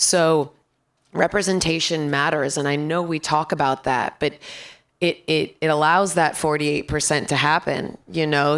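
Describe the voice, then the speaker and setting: Raspy speech at a moderate pace, in a very clean recording with a silent background. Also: woman. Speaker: voice actor. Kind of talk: panel discussion.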